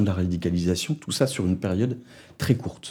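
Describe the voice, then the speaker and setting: On a very clean recording with a silent background, a man speaks at a moderate pace in a very deep, low voice with a dark, mellow tone. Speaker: sociologist researcher. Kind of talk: research interview. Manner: hesitant with fillers.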